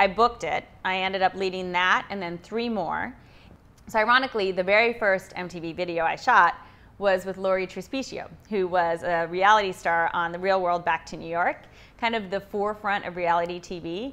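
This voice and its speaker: Over a quiet background, a woman with an American accent speaks at a fairly quick pace in a bright, sharp, medium-pitched voice, with ordinary pitch variation and big swings in loudness. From US, Idaho (Pocatello). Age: 30s. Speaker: yoga and fitness instructor. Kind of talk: personal interview.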